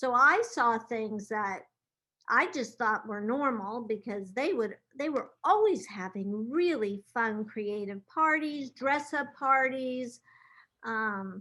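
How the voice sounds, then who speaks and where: A woman with a bright, sharp tone and fairly high pitch speaks at a very slow pace in a very clean recording with a silent background. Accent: American. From US West Coast, Los Angeles. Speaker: event planner. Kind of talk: interview.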